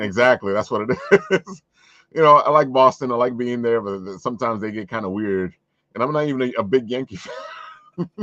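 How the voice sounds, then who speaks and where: In a New York accent, a man talks at a fairly quick pace and medium pitch, with lively intonation, big swings in loudness and long, frequent pauses. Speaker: podcast host. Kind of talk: casual chat.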